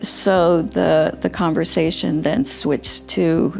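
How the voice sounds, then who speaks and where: A woman talks at a very slow pace with music in the background. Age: 70s. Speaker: scoliosis surgery patient. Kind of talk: patient testimonial interview answer.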